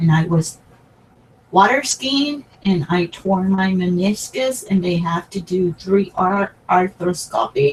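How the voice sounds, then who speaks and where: A woman with a Spanish accent speaks at a medium pitch and a very slow pace. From Puerto Rico. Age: 60s. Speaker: crafting YouTuber. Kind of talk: personal talk to camera. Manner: halting.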